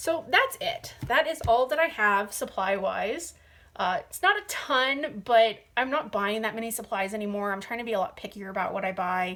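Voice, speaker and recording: A woman's fairly high voice has a bright, sharp tone. Her pitch swings very widely. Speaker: hobby youtuber, adult coloring. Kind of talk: casual haul video talk. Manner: hesitant, many fillers.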